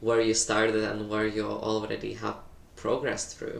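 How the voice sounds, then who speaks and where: The speaker has a non-native accent, and audible echo from the room is present. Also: man. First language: not English. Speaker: tarot reader. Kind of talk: tarot reading monologue. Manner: hesitant, many fillers.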